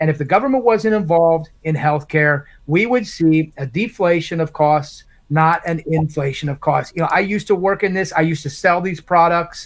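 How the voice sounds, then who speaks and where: A man talks at a high pitch. The recording is very clean, with a silent background. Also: ordinary pitch variation, moderate pace. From Indiana, Morgan County. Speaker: congressional candidate. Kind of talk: live town hall Q&A.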